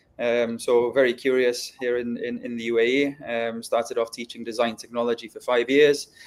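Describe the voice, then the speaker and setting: A man talks in a Welsh accent. His pace is moderate. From North Wales. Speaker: educator. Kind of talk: interview. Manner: halting, many fillers.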